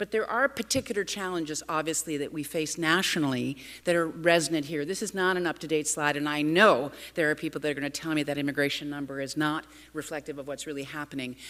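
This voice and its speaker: A woman talks at a very fast pace in a very deep, low pitch with ordinary pitch variation. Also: very clean recording, silent background. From Canada. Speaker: urban policy speaker. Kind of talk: conference talk.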